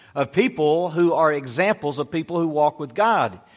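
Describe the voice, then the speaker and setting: A man speaks in a normal speaking voice at a fairly high pitch. His intonation is lively. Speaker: pastor. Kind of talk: sermon. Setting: church.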